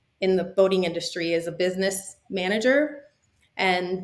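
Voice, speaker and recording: A woman with a Spanish accent speaks at a medium pitch and a moderate pace, with ordinary pitch variation. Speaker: boating industry business consultant. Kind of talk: podcast interview.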